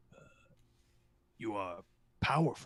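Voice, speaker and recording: A man performs a put-on character voice. It comes out raspy. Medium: actual play.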